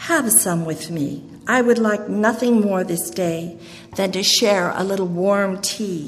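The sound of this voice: The pitch varies in an ordinary way. It is an unforced reading voice.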